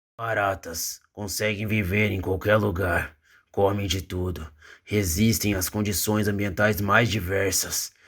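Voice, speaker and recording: A man uses a put-on character voice, raspy and fairly low, at a fairly slow pace with monotone, flat intonation. The recording is very clean with a silent background. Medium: audio drama. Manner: gruff, blunt.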